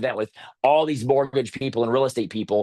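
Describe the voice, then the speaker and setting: Talking very fast, a man with a medium-pitched voice shows ordinary pitch variation. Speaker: sales trainer and speaker. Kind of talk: webinar presentation.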